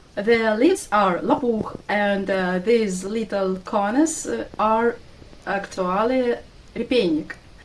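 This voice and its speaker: A woman with a Russian accent and a fairly high pitch, ordinary pitch variation, a very slow pace, and noticeable background noise. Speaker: vlogger. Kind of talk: walking tour vlog. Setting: outdoors. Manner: halting.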